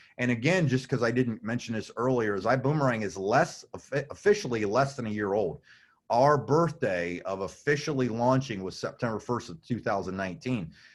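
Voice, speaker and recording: A man's voice at medium pitch moves at a fairly quick pace, the intonation lively. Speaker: network marketing presenter. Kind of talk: business presentation. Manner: fast.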